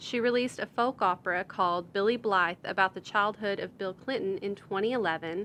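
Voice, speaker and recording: A woman speaks with a normal speaking voice at medium pitch. Her pace is moderate, with ordinary pitch variation. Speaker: podcast host. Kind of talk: podcast introduction.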